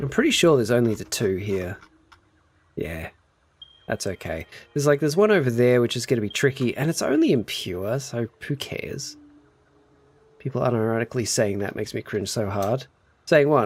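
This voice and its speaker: A man with an Australian accent speaks at a medium pitch and a fairly quick pace. He leaves long, frequent pauses. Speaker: video game live streamer. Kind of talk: casual live-stream chat while gaming. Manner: animated, chatty.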